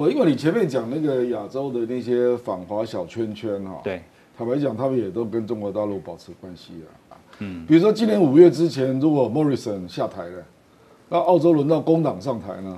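Moving at a fairly quick pace, a man's dark, mellow voice at medium pitch makes very wide pitch swings and big swings in loudness. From Taiwan. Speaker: professor and former legislator, political commentator; professor, political commentator. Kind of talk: TV political talk show panel discussion. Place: studio. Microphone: lapel.

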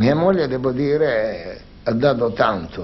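A man at a very slow pace with lively intonation, over light background noise. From Salento, southern Italy. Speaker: shoe manufacturer businessman. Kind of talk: interview. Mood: reflective, earnest. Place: home room.

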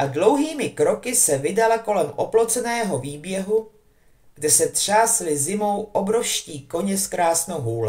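Lively intonation in an unforced reading voice

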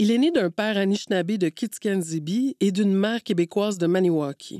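A woman speaks at a medium pitch with a dark, mellow tone, recorded very cleanly and dry and close with no echo against a silent background. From Quebec, Montreal; Cree and Québécois parents. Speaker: podcast host, broadcast journalism manager. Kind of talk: interview.

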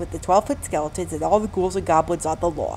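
Music plays behind the voice. The speaker is a woman. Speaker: voice actor. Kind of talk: news report.

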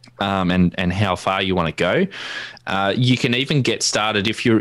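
Here is a man with an Australian accent. He speaks at a fairly low pitch. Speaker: ham radio youtuber. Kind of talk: tutorial. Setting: video call.

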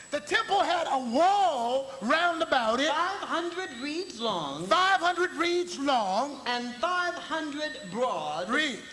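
The voice is raised and projected, with lively intonation. Audible room echo and light background noise come through. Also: man. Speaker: bishop, gospel preacher. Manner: emphatic preaching, repeating phrases, call-and-response cadence. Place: church. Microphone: podium.

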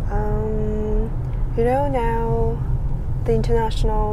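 Through noticeable background noise, a woman talks at a very slow pace. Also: dry sound with no echo. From China, Korean Chinese background. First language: Chinese or Korean. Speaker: vlogger and mother. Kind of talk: casual vlog monologue. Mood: thoughtful, calm. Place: car. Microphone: phone near.

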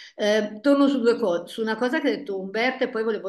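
A woman at a fairly quick pace, with ordinary pitch variation, audible room echo and a quiet background. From northern Italy, Paderno Dugnano near Milan; northern Italy. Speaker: family therapist; guest. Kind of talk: panel discussion. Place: office. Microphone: earbuds.

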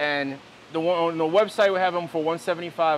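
Upbeat, enthusiastic man at a moderate pace, light background noise behind him. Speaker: fish seller and auctioneer. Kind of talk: sales pitch, fish auction. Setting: fish facility, filmed on camera. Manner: upbeat, enthusiastic, casual. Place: shop. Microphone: lapel.

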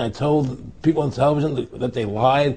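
A man speaking at a moderate pace. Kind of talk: interview answer. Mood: indignant, recounting injustice. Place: home room. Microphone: lapel.

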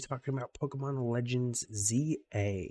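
A soft-spoken man whispers. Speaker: gaming YouTuber. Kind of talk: casual video monologue. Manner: soft-spoken, quiet; excited, with many filler words. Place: home room. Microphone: studio mic.

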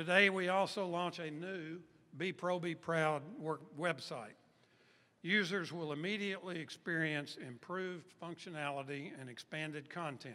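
The voice has a bright, sharp tone, moving at a moderate pace with ordinary pitch variation. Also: man, high pitch for a man. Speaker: event host and chamber of commerce executive. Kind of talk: formal event speech at a press event. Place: hall. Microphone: podium.

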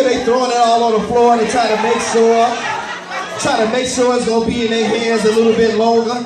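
The speaker goes at a fairly quick pace. Noticeable background noise runs underneath. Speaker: event host / emcee. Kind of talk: live event hosting, energetic crowd-facing emcee talk. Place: hall.

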